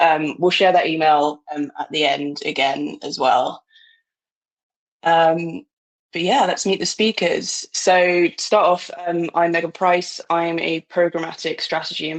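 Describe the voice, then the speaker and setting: Fairly slow, fairly low-pitched speech from a woman with a British accent and ordinary pitch variation. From Britain. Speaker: marketing director, webinar moderator. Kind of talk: webinar presentation.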